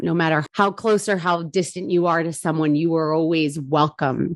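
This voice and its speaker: A woman speaks with a New Jersey accent at a fairly low pitch. Her intonation stays fairly even. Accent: New Jersey American English. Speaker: bourbon brand ambassador. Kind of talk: casual interview.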